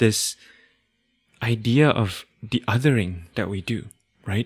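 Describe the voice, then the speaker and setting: Heard on a very clean recording with a silent background and a dry, close sound without echo, a man with a non-native accent speaks at a medium pitch with ordinary pitch variation. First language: not English. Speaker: podcast host. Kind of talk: casual chat.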